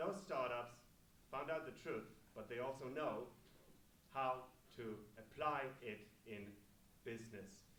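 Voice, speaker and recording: A man speaks at a fairly slow pace with long, frequent pauses, in a bright, sharp tone. His medium pitch shows ordinary variation, and audible room echo carries through. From Poland, Gdynia. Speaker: event host. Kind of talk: event speech. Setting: stage with audience.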